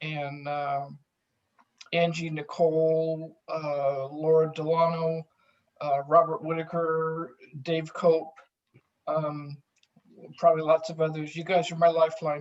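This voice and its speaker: Very slowly and with long, frequent pauses, a woman speaks in a very deep, low voice with flat, monotone intonation. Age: 60s. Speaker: psychiatric drug withdrawal survivor. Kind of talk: testimony.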